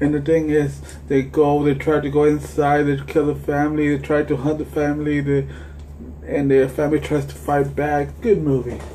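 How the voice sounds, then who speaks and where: With audible room echo and noticeable background noise, a man talks at a fairly slow pace. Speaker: movie collector vlogger. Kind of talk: casual movie collection review. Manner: halting, many restarts.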